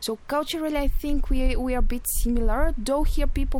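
A woman's high-pitched voice shows ordinary pitch variation and moves at a moderate pace. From Bulgaria. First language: Bulgarian. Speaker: EU volunteer at community radio. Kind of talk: radio interview. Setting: radio studio.

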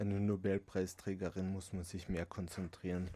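A man with a dark, mellow tone speaks in a very clean recording over a silent background. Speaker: book reviewer. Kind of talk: casual chat.

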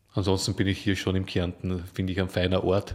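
Very deep and low, a man's somewhat breathy voice moves at a moderate pace. The recording is very clean, with a silent background. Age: 50s. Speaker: activist, former recruiter. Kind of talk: interview. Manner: hesitant, many fillers.

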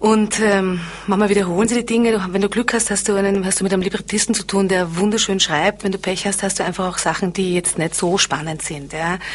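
A woman with a medium pitch speaks at a fairly quick pace, her intonation fairly even. Noticeable background noise is present. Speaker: actress and singer. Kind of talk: interview. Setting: studio.

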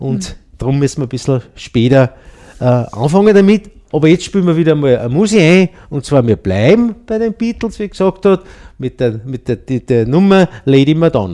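A man with a dark, mellow tone and a fairly high pitch moves through very wide pitch swings. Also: moderate pace. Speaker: community radio host. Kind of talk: casual radio show talk. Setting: radio studio.

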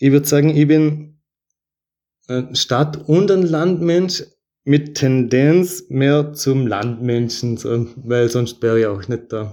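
Speaking at a very slow pace with long, frequent pauses, a man uses a fairly high pitch, a dark, mellow tone and ordinary pitch variation. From Vorarlberg, Austria. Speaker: resident sharing personal story. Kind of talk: personal testimony.

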